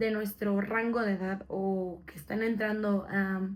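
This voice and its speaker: A woman with a Mexican accent speaks at a fairly slow pace. The recording is very clean, with a silent background. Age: 20s. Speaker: podcast co-host. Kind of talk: casual podcast chat.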